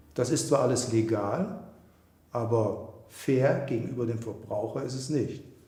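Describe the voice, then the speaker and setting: Somewhat breathy, with a dark, mellow tone and ordinary pitch variation, a man speaks amid audible room echo. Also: medium pitch for a man, moderate pace. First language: German. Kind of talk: documentary interview.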